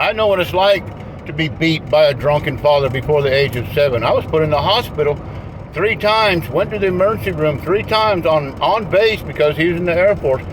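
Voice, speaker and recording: Lively intonation marks a man talking at a fairly quick pace. Audible room echo and noticeable background noise surround him. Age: 60s. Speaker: vlogger. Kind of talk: monologue to camera. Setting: in a car. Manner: halting.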